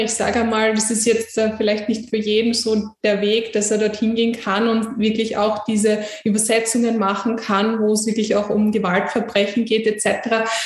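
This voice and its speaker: A woman with a fairly high voice speaks in a flat monotone at a moderate pace, with hardly any pauses and very even loudness, amid audible room echo and noticeable background noise. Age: young. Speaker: podcast host. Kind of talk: interview.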